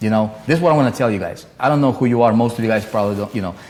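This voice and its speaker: With a non-native accent, a man speaks at a medium pitch with ordinary pitch variation. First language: not English. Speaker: online marketing coach, live streamer. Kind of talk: live stream talk. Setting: live stream. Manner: casual, many fillers and repetitions.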